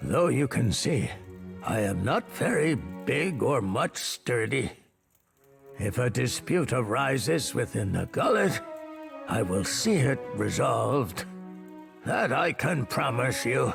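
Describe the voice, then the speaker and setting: A man's put-on character voice at medium pitch, fairly slow, with long, frequent pauses and faint music in the background. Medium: video game. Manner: measured, formal.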